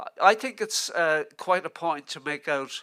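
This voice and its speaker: On a very clean recording with a silent background, a man with a Dublin accent speaks at a moderate pace in a bright, sharp tone with ordinary pitch variation. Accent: Dublin Irish. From Ireland, Dublin. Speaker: literary scholar. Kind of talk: lecture. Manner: halting.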